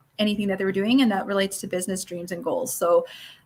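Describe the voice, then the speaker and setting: A woman speaks with a Newfoundland accent. Her voice is somewhat breathy. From Newfoundland, Canada. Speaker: network marketing coach. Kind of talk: online workshop lecture. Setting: live stream. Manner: fast.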